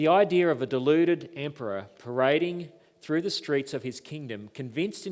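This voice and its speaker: A man speaks with an Australian accent at a moderate pace, with ordinary pitch variation. The recording is very clean, with a silent background. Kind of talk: lecture. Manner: formal.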